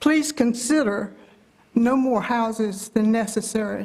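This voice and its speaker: A North Carolina accent over noticeable background noise. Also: woman. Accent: Southern US, North Carolina. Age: 80s+. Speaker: public commenter. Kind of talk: public comment at meeting. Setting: county board meeting room.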